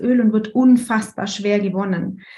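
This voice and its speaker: In a monotone, flat intonation, the woman talks at a moderate pace with a fairly high pitch. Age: 30s. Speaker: essential oils consultant and astrology student. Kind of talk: casual interview.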